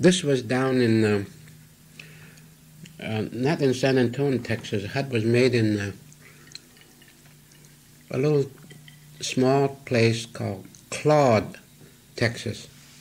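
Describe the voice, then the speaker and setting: A man speaks at a very slow pace, leaving long, frequent pauses. His medium pitch shows ordinary pitch variation. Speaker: cinematographer. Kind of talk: interview answer.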